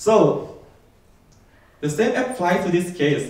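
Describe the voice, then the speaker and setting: The speaker has a Thai accent, lively intonation and a fairly slow pace. Noticeable background noise and audible room echo fill the recording. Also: man. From Thailand. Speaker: software developer. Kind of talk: keynote talk.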